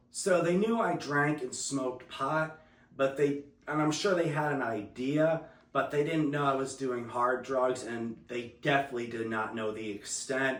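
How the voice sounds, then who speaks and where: The speaker has an American accent and ordinary pitch variation, talking at a moderate pace. Audible room echo and noticeable background noise fill the recording. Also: man, medium pitch for a man. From New Jersey. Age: 30s. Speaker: recovering addict. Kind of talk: testimony interview.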